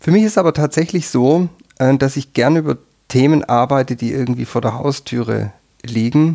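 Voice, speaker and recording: At a moderate pace, a man speaks at a medium pitch in a dark, mellow tone. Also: ordinary pitch variation. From Germany, Württemberg (near Tübingen). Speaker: professor of European ethnology. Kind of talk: interview. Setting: studio on seventh floor of university tower. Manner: hesitant, many filler sounds.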